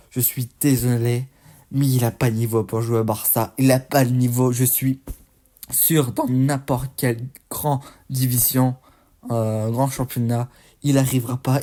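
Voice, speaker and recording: A man's dark, mellow voice at a medium pitch and fairly slow pace, monotone with flat intonation, on a very clean recording with a silent background. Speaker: football YouTuber. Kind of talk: match debrief commentary.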